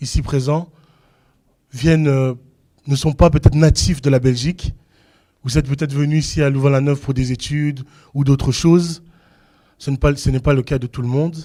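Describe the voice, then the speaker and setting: Pausing long and often, a man at a fairly high pitch talks at a moderate pace in a dark, mellow tone with monotone, flat intonation. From Belgium. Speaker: preacher. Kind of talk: sermon. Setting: church.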